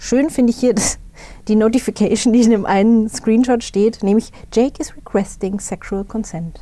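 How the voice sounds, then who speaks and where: The woman's pitch is fairly high, with ordinary variation. Her tone is dark and mellow. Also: moderate pace. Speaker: podcast co-host. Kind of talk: casual chat. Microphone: poor sound quality this episode.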